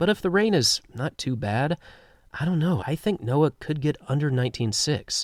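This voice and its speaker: Lively intonation marks this man's normal speaking voice at a moderate pace. The recording is very clean with a silent background and a dry, close sound with no echo. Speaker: sports commentator on a video channel. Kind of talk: casual chat.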